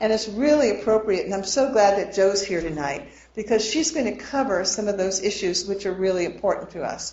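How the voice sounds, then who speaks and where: Noticeable background noise and audible room echo accompany a woman talking at a fairly quick pace. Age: 60s. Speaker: financial planner. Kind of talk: lecture.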